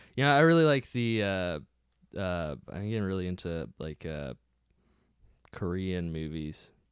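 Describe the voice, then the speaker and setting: A man's very deep, low voice with an American accent and lively intonation, at a moderate pace with long, frequent pauses, in a very clean recording with a silent background. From US childhood, then Bristol, England. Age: 20s. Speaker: comedian. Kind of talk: casual chat. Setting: studio.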